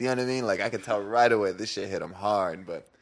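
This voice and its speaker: An ordinary speaking voice from a man with an American accent, medium-pitched, fairly quick, with fairly even intonation. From San Diego area, California. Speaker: musician and DJ. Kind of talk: casual chat.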